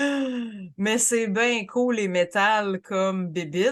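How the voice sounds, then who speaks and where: Very slowly, a woman talks in a fairly high pitch with lively intonation. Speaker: podcast co-host. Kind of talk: casual podcast conversation.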